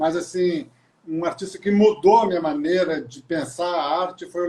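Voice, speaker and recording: The tone is dark and mellow. This man talks at a moderate speed. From Brazil, Maringá (Paraná). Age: 60s. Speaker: visual artist. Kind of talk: casual interview. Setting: live video call.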